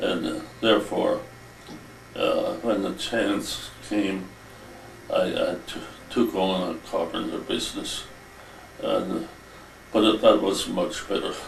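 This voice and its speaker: A man at a very slow pace with long, frequent pauses, amid noticeable background noise and audible room echo. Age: 80s+. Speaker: retired carpenter and former deacon. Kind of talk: interview reminiscence. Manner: halting, many hesitations.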